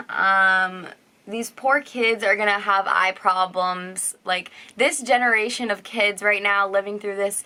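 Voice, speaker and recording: Loud and bright with a sharp tone, a woman speaks at a medium pitch and a fairly slow pace with fairly even intonation. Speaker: teacher and vlogger. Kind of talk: casual vlog talk.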